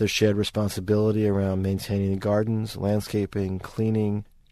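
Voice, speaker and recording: Against a quiet background, a man with a New York accent talks in a fairly low, dark, mellow voice with monotone, flat intonation. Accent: New York American. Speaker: architecture academic. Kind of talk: interview.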